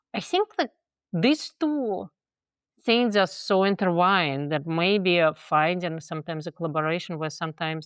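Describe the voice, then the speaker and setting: Speaking at a moderate pace, a woman has a Russian accent. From Russia (Moscow). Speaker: theater director and professor. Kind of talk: interview conversation.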